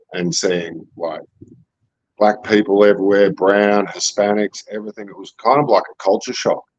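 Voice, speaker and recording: A man with an Australian accent and a fairly low pitch talks at a fairly slow pace, the sound dry and close with no echo. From Australia, rural Victoria near Melbourne. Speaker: crypto art gallery guest. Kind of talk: casual chat.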